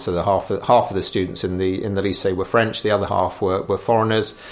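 A man talks over noticeable background noise. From England. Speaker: politician. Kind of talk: interview. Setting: office.

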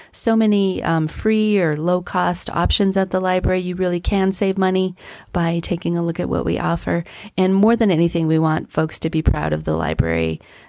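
An unremarkable speaking voice with an American accent and fairly even intonation, in a very clean recording with a silent background. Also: woman, fairly low pitch for a woman, moderate pace. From southern Colorado (Trinidad). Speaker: library director. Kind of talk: interview.

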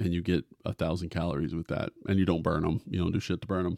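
A man speaks against a quiet background, the sound dry and close with no echo. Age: 40s. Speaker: podcast host. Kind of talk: casual monologue. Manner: animated.

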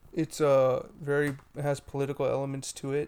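At a very slow pace, a man talks with a fairly high pitch. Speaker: podcast co-host.

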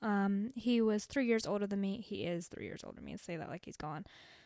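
On a very clean recording with a silent background, a woman talks in an American accent. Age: young. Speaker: podcast host. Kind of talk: casual monologue. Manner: animated.

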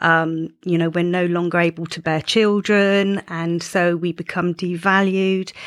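A woman's fairly low voice, monotone and flat, at a fairly slow pace. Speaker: menopause coach. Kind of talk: casual interview chat. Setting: studio.

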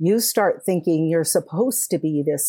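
With a plain, everyday voice and an American accent, a woman speaks at a moderate pace with a fairly low pitch and lively intonation, on a very clean recording with a silent background. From California. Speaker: caregiving consultant and author. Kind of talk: interview.

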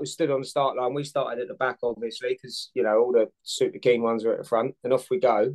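Fairly quick and fairly even in intonation, a man with a London accent and medium pitch speaks in a dry, close sound with no echo. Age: 40s. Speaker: firefighter and amateur triathlete. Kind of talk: casual interview chat.

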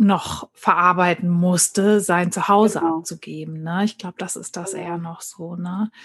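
With a somewhat breathy voice, a woman speaks at a medium pitch in a monotone, flat intonation. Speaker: podcast host. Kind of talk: casual chat.

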